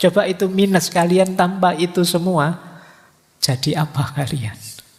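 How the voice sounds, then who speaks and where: A man talks fairly slowly, keeping his intonation fairly even. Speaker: philosophy lecturer. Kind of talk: lecture. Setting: hall with live audience, PA system. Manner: soft-spoken.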